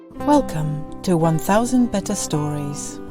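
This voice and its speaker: A woman's voice with music in the background. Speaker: podcast host. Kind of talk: podcast intro.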